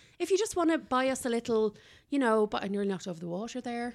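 A woman with an Irish accent and lively intonation at a very fast pace, on a very clean recording with a silent background. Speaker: podcast co-host, food reviewer. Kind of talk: casual chat. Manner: animated.

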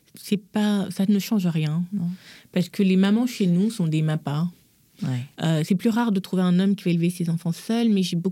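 A woman speaks at a fairly quick pace in a medium pitch, with a dark, mellow tone and a somewhat breathy quality. Her intonation stays fairly even, and the recording is very clean with a silent background. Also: very even loudness. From Gabon. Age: 40s. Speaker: image consultant. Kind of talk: casual chat.

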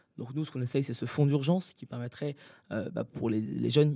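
In an unremarkable speaking voice, a man talks fairly quickly with a fairly high pitch and fairly even intonation. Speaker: anti-bullying association founder. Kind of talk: interview. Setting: hotel room.

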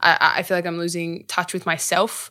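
Recorded very cleanly against a silent background, a woman with an Australian accent has a fairly low pitch and a bright, sharp tone. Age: 20s. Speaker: actor and activist. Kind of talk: interview.

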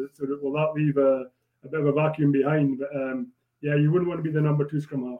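A man with a Scottish Borders accent, fairly high-pitched and monotone with flat intonation, at a very fast pace. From Scotland. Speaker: former rugby player. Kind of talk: casual chat. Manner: halting.

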